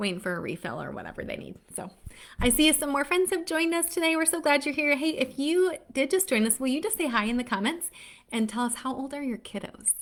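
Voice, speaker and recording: A woman talks at a very fast pace and a high pitch, sounding upbeat. Her pitch swings very widely. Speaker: literacy educator for parents. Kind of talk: live stream talk to parents. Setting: Facebook Live stream. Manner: upbeat, chatty.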